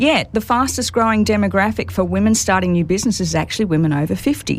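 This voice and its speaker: A woman with an Australian accent, speaking very fast at a very even loudness. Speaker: author and speaker on women over fifty. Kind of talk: radio interview. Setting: radio studio.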